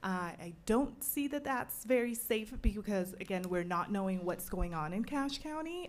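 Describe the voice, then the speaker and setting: A woman talks at a fairly slow pace with lively intonation, and some room echo is audible. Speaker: resident making public comment. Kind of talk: public comment at city council. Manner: loud.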